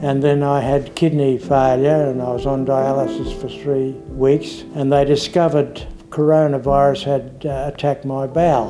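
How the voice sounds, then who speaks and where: A man's fairly high voice with an Australian accent, fairly even intonation and a moderate pace, over music in the background. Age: 70s. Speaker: COVID-19 survivor. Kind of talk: interview answer.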